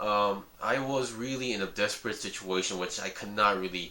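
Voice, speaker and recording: Over noticeable background noise, the speaker uses ordinary pitch variation with a Korean accent. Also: man. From South Korea, with early schooling at an American school. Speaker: hobby YouTuber reviewing model kits. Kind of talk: casual vlog talk. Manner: halting, with many fillers and restarts.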